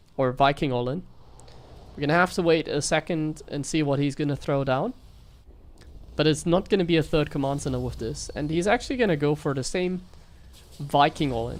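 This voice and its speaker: A woman with a German accent and a very deep, low pitch speaks at a fairly quick pace with vocal fry, ordinary pitch variation, and long, frequent pauses. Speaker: StarCraft streamer and caster. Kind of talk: live game commentary. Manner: animated.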